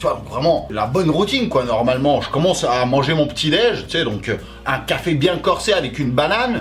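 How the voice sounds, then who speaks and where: Over music in the background and audible room echo, a loud man talks at a fairly quick pace with a fairly high pitch and very wide pitch swings. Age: 30s. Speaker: YouTuber. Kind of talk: personal vlog storytelling. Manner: fast.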